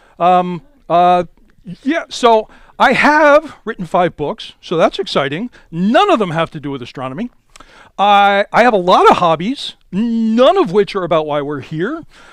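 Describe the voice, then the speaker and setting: A loud, animated man with high pitch and very wide pitch swings, at a fairly slow pace. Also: dry, close sound with no echo. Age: 60s. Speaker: amateur astronomer and club speaker. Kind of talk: lecture. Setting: in-person talk with live audience.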